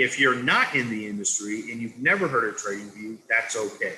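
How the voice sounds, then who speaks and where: Light background noise runs under a man talking at a fairly slow pace. His tone is bright and sharp. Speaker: product trainer. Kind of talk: product training presentation. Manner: deliberately slowed-down pace. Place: home room. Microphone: video call.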